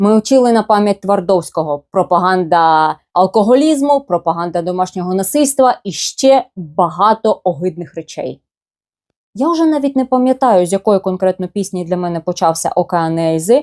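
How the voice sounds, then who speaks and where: This woman has a normal speaking voice, medium in pitch, with lively intonation at a moderate pace. The recording is very clean, with a silent background and a dry, close sound with no echo. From eastern Ukraine, Luhansk. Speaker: blogger. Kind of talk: personal storytelling.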